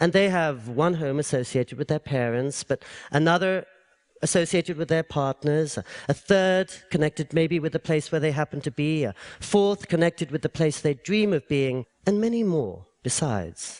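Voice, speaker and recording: A man with an English accent, moderate pace, and ordinary pitch variation, in a dry, close sound with no echo. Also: fairly high pitch for a man. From England. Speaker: public speaker. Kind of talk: public talk.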